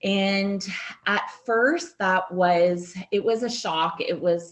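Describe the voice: Slow, ordinary pitch variation from a woman's voice. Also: medium pitch for a woman.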